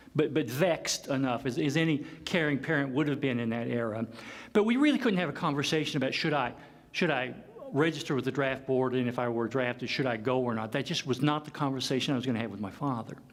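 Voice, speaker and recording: With an American accent, a man talks at a very fast pace in a medium pitch with ordinary pitch variation, and room echo is audible. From US South, Kentucky (Paducah). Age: 50s. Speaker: professor. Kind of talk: lecture. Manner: halting.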